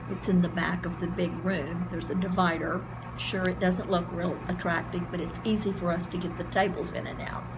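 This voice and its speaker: With noticeable background noise and audible room echo, a woman's voice moves along at a moderate pace. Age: 70s. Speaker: garden club leader. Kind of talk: news interview. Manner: animated.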